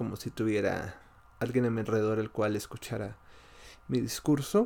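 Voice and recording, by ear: A man speaks at a fairly slow pace with a slightly mellow tone and vocal fry.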